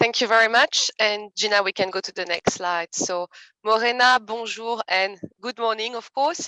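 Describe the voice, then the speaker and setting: Speaking with a French accent, a woman uses a fairly high, bright, sharp voice at a moderate pace with ordinary pitch variation. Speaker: committee co-leader. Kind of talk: event introduction.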